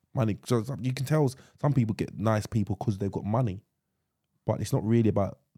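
On a very clean, dry, close recording with a silent background and no echo, a man with an English accent speaks fairly quickly in a fairly low, dark, mellow voice with ordinary pitch variation. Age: 30s. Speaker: podcast co-host. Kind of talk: casual chat.

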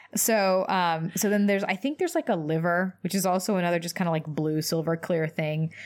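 Speaking in a normal speaking voice with an American accent, a woman with fairly low pitch moves at a fairly quick pace with hardly any pauses, on a very clean recording with a silent background. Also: ordinary pitch variation. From US South, Louisville, Kentucky. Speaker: doctor, podcast co-host. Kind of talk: casual chat.

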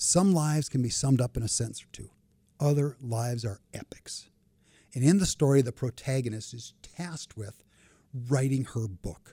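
Somewhat breathy and dark, mellow in tone, the voice carries an American accent at a moderate pace with ordinary pitch variation, in a dry, close sound with no echo. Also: man, medium pitch for a man. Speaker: retired banker and finance expert. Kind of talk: casual interview conversation. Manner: humorous, chatty.

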